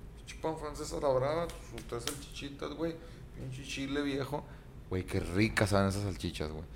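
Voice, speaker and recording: At a moderate pace, the speaker's pitch swings very widely, with long, frequent pauses and audible room echo. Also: man, fairly low pitch for a man. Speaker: podcast host. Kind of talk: casual chat.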